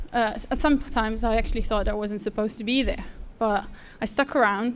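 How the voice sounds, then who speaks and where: A woman speaks fairly quickly with a Lithuanian accent. Her pitch sits fairly high. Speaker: apprentice designer. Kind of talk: speech. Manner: halting.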